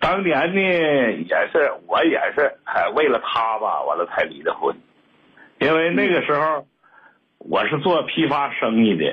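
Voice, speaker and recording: A man is speaking. His delivery comes very slowly. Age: 60s. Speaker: caller, retired businessman. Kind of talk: telling his story on a call-in show. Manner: halting with many fillers.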